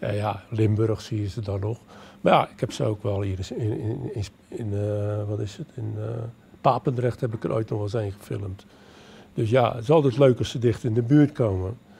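A man speaks at a moderate pace and fairly low pitch, in a dark, mellow tone that is somewhat breathy. His loudness swings widely, over light background noise. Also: ordinary pitch variation. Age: 70s. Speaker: retired amateur nature filmmaker. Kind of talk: interview. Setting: public library event. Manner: halting. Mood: cheerful, relaxed. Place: hall. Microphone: handheld.

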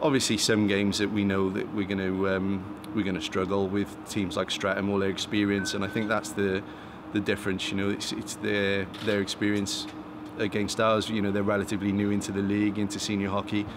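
Noticeable background noise sits behind a man's fairly low voice. He speaks at a fairly quick pace in a flat monotone. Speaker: team head coach. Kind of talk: interview answer. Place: stadium.

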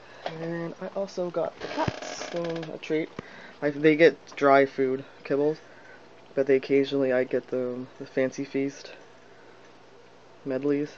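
A man's voice over noticeable background noise, with long, frequent pauses and fairly even intonation. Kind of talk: casual talk to camera.

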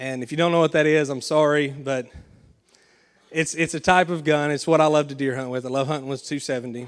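Speaking at a fairly quick pace, a man with a Southern US accent has a fairly high pitch. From Arkansas. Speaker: pastor. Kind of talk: sermon. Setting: church. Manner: animated.

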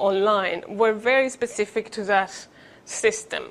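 A woman of medium pitch speaks with a Spanish accent. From Spain. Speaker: education researcher; conference presenter. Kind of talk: conference presentation. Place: hall.

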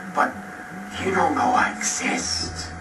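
A very slow pace of speech over music in the background. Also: man. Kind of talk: comedic video diary monologue. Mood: whiny, jealous, melodramatic. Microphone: old recording.

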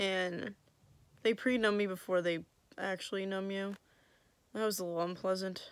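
At a moderate pace, a woman talks in a monotone, flat way, with a dry sound and no echo. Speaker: vlogger. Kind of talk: casual vlog chat. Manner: drowsy, sluggish post-surgery speech. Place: home room. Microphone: phone near.

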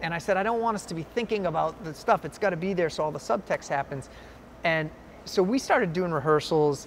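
A man with a Boston accent talks at a very fast pace in a high pitch. His pitch varies in an ordinary way, with light background noise behind him. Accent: Boston-area New England. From central Massachusetts (Shrewsbury, near Worcester); Massachusetts. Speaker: film producer; interviewee. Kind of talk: interview. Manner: animated. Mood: animated storytelling, amused. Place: hall. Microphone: lapel.

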